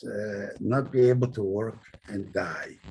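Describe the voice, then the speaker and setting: Somewhat breathy, a man talks in a medium pitch. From Poland. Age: 90s. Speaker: Holocaust survivor. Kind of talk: testimony.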